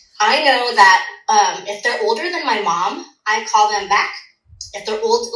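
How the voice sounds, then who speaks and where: A woman with an American accent and a fairly high pitch speaks with ordinary pitch variation amid audible room echo. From Orange County, California. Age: 40s. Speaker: dietitian. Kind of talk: casual chat.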